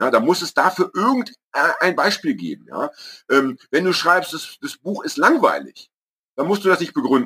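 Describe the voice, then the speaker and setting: A man speaks at a moderate pace with a high pitch and a bright, sharp tone. His pitch swings very widely, and the sound is dry and close with no echo. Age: 50s. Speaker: podcast co-host and author. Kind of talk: casual chat. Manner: halting.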